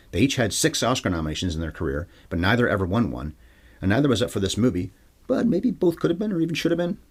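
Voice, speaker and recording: Somewhat breathy, a man talks at a very fast pace with very wide pitch swings. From Canada. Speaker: film podcast host. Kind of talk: solo podcast film review monologue.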